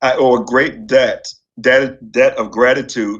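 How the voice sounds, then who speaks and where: Speaking with an American accent, a man keeps to a medium pitch. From Virginia Tidewater, Norfolk. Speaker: literature professor. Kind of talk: memorial speech. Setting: memorial service.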